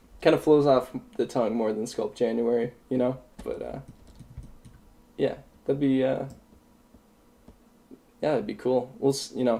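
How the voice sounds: A man speaks at a moderate pace with vocal fry and a dark, mellow tone. His pitch variation is ordinary.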